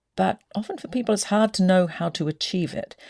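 A woman speaks at a moderate pace with an Australian accent, her tone dark and mellow. Her pitch swings very widely, and the recording is very clean with a silent background. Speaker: podcast host. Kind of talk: interview conversation.

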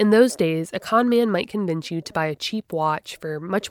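A woman at a medium pitch has an ordinary speaking voice and lively intonation, recorded very cleanly against a silent background with a dry, close sound and no echo. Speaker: podcast host. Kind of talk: scripted narration.

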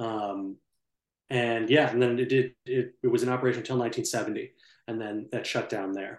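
A man speaks in a plain, everyday voice at a medium pitch. His intonation is fairly even and his pace moderate. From US Upper Midwest, St. Paul, Minnesota. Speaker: brick historian and tour guide. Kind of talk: casual interview.

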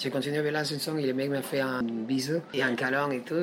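A man with a Spanish accent, medium pitch, fairly quick pace and fairly even intonation, with noticeable background noise. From Peru, Lima. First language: Spanish (speaking French). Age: 20s. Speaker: street singer. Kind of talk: interview. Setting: café. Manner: halting.

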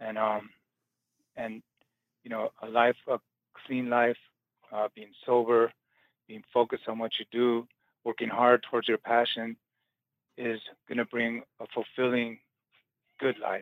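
A man with an American accent speaks at a medium pitch and a fairly slow pace, with long, frequent pauses. His intonation is monotone and flat, while his loudness swings widely. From Los Angeles, US. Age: 60s. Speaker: tattoo artist. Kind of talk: interview. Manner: halting.

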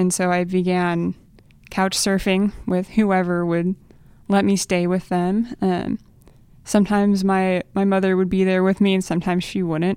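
A woman with an American accent speaks in a monotone, flat intonation at very even loudness. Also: medium pitch for a woman, moderate pace. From Oklahoma. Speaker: veterinary student, church member. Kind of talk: testimony. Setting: studio.

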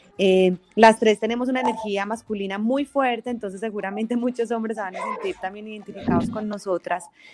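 A woman with a Colombian paisa accent talks at a fairly quick pace, with hardly any pauses, fairly high pitch and fairly even intonation. The sound is dry and close with no echo, though noticeable background noise is present. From Colombia, Manizales. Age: 40s. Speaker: podcast co-host, communicator and teacher. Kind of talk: casual chat. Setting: remote call over internet.

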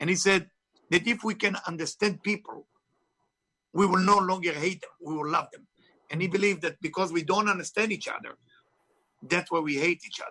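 With an Israeli accent, a man uses a raised, projected voice with a bright, sharp tone and high pitch, speaking at a fairly quick pace with fairly even intonation and long, frequent pauses. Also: big swings in loudness. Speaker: author and spiritual teacher. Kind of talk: interview. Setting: video call.

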